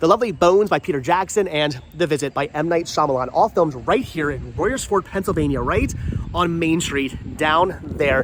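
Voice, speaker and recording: Someone speaks in an animated tone at a moderate pace over noticeable background noise. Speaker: travel vlogger. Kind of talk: casual vlog walkthrough. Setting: outdoors on a street in rain. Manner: stumbling, mumbling.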